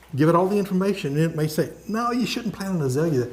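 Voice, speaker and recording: A man talks at a fairly quick pace. Audible echo hangs in the room. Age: 70s. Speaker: software engineer giving a talk. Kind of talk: lecture. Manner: casual, conversational with fillers and repetitions.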